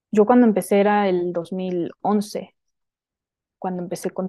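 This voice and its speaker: Pitched at a medium level, a woman speaks with a dark, mellow tone and monotone, flat intonation. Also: quiet background. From Sonora, northern Mexico (Hermosillo). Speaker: women's spiritual teacher. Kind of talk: casual interview chat.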